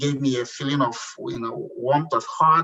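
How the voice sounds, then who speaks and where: Speaking with a Nigerian accent, a man with a fairly high pitch talks at a moderate pace and ordinary pitch variation. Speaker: entrepreneur. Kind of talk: interview. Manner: halting.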